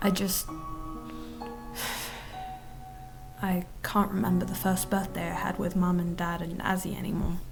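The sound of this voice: A woman's put-on character voice, fairly low in pitch with vocal fry, big pitch swings, a slow pace and long, frequent pauses over clear music in the background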